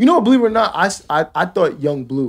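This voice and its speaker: This is a man with a plain, everyday voice, speaking at a moderate pace. His intonation is lively, and the background is quiet. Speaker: DJ; podcast co-host. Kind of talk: casual chat. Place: studio. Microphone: studio mic.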